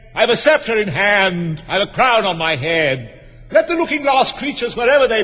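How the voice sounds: The passage is read in a natural reading voice.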